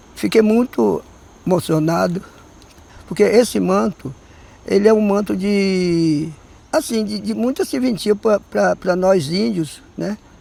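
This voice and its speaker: Speaking at a fairly slow pace, a man with a high voice uses lively intonation. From southern Bahia, Brazil (Olivença). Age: 80s+. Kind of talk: documentary interview. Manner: halting.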